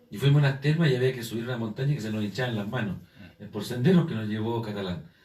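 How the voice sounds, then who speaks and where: A man talks at a very fast pace with medium pitch, ordinary pitch variation and an animated tone. Audible room echo and noticeable background noise fill the recording. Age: 50s. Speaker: panelist in church discussion. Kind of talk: online panel discussion. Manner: animated storytelling.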